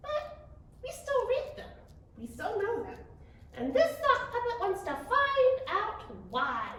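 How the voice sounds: A woman uses a put-on character voice at an extremely high pitch, speaking at a fairly slow pace. Long, frequent pauses break up her lines, and a clear echo surrounds them.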